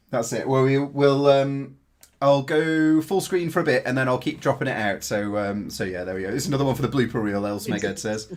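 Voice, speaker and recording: At a fairly quick pace, a man with a plain, everyday voice speaks at medium pitch with lively intonation. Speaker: drone YouTuber and livestream host. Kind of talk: casual livestream chat. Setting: livestream.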